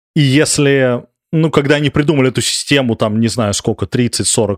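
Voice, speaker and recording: At a moderate pace, the speech has lively intonation, with a dry, close sound with no echo and a very clean recording with a silent background. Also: man. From Moscow, Russia. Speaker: emigrant, former researcher. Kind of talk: interview. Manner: halting.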